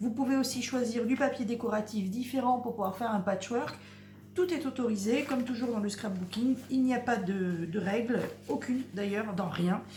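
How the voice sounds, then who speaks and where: With audible room echo and noticeable background noise around it, the voice keeps a moderate pace and ordinary pitch variation. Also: woman, fairly high pitch for a woman. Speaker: crafts youtuber. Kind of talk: tutorial. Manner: soft-spoken; hesitant.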